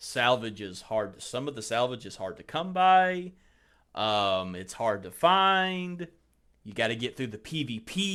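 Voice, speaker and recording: Speaking with a Southern US accent at a fairly slow pace, a man with a medium pitch and a bright, sharp tone shows very wide pitch swings and big swings in loudness on a very clean recording with a silent background. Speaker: podcast host. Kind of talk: casual chat.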